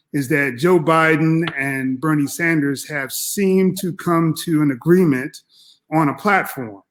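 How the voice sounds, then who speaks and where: He has a plain, everyday voice. The man's pitch varies in an ordinary way, and his pace is fairly slow. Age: 60s. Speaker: professor. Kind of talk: political discussion.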